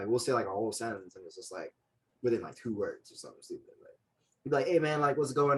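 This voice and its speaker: This man talks at a very fast pace with a Jamaican accent. His tone is animated. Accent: Jamaican, still present. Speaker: childhood friend, podcast guest. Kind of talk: casual chat.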